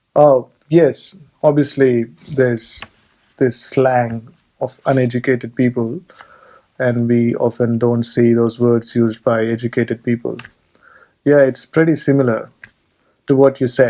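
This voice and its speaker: Flat and monotone, a man speaks fairly slowly with long, frequent pauses, his medium-pitched voice dark and mellow. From India. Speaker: podcast host and migration agent. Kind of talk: casual interview chat.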